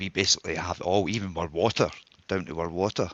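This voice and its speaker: In a strong Scottish accent, a man with a very deep, low pitch speaks at a fairly quick pace in a bright, sharp tone with fairly even intonation, the sound dry and close with no echo. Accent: broad Scottish. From Scotland. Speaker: audience member. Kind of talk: live audio space discussion.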